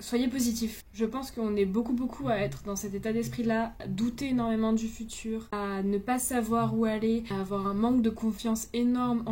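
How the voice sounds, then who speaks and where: This woman's voice has a dark, mellow tone and is somewhat breathy. Her intonation stays fairly even. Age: 20s. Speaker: vlogger. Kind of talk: personal vlog monologue. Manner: casual, hesitant.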